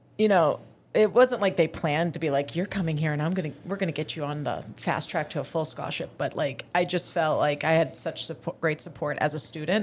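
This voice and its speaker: In a normal speaking voice, a woman with a fairly low pitch talks at a fairly quick pace with ordinary pitch variation and hardly any pauses. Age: 30s. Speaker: PE teacher and semi-pro football player. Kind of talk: casual chat.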